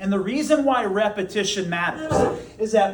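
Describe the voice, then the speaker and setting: Over noticeable background noise and audible room echo, a man talks in an animated tone with lively intonation. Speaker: high school teacher. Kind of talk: classroom lecture.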